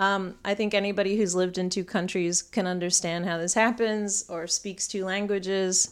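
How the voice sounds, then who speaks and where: With an American accent, a woman speaks at a medium pitch in a monotone, flat intonation with hardly any pauses. The recording is very clean, with a silent background. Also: moderate pace. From northern England. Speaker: astrologer and life coach. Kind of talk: scripted-style solo astrology forecast, casual. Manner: casual, conversational, filler words.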